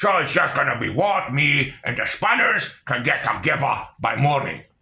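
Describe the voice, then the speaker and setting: A man performs a put-on character voice. His pitch sits fairly high. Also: moderate pace. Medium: read story. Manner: mulling, cockney orc slang.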